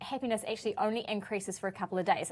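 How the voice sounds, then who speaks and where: A woman with a New Zealand accent, medium pitch and a very fast pace. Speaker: show co-host. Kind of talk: casual chat.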